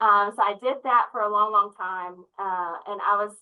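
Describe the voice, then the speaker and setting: A woman speaks in a Southern US accent. Her pitch is medium. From US South, Memphis area. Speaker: nurse leader. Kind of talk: interview. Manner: energetic.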